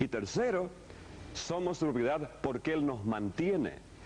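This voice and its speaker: A man speaks with an Argentine accent at a moderate pace. His pitch is fairly high and his intonation lively. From Argentina. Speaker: pastor teaching a course. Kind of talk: sermon-style teaching lecture.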